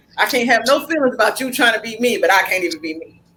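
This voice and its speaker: A woman talking at a very fast pace in a passionate, animated tone, with noticeable background noise. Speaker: podcast host. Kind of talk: casual chat. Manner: not loud, fairly quiet.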